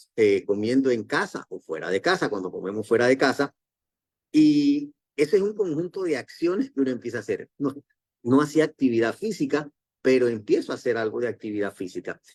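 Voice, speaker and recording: At a fairly quick pace, a man with a fairly high pitch speaks with very wide pitch swings in a dry, close recording with no echo. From Panama. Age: 60s. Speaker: network marketing distributor, former doctor. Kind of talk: motivational talk.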